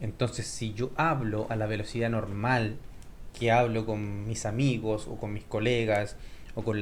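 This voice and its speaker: A man talks with audible room echo. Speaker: Spanish teacher. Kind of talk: tutorial. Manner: clear pronunciation.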